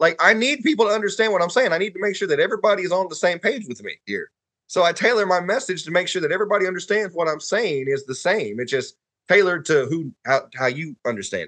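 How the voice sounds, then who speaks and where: A high-pitched man's voice with a Southern US accent, bright and sharp in tone, at a very fast pace. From northern Alabama (Huntsville). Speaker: podcast guest. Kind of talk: casual chat.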